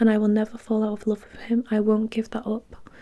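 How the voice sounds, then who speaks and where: Whispering at a fairly quick pace, a woman sounds soft-spoken and somewhat breathy. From UK. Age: 20s. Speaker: ASMR creator. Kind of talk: first-person novel narration, reflective and sad. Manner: soft-spoken, whispery, relaxing.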